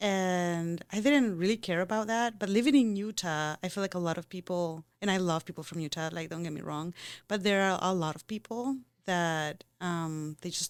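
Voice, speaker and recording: In a very clean recording with a silent background, a woman with a non-native accent talks at a moderate pace in a fairly low pitch, with ordinary pitch variation. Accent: foreign. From Costa Rica. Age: 30s. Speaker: podcast co-host. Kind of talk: casual chat.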